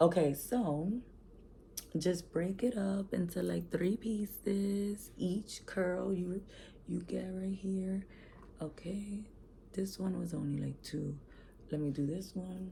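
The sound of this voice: A woman puts on a raspy character voice at a medium pitch, her intonation fairly even. She speaks fairly slowly, with long, frequent pauses.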